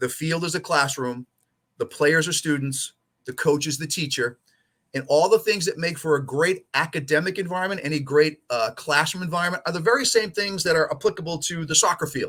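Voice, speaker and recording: A fairly high-pitched man's voice with an American accent, bright and sharp in tone, on a very clean recording with a silent background. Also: ordinary pitch variation, fairly quick pace. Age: 60s. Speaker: soccer coach and coach educator. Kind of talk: interview conversation.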